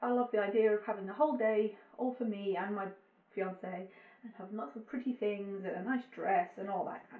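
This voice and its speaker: A woman with an English accent talks at a fairly quick pace and medium pitch, with ordinary pitch variation. Her loudness swings widely. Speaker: vlogger. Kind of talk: casual chat. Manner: quiet.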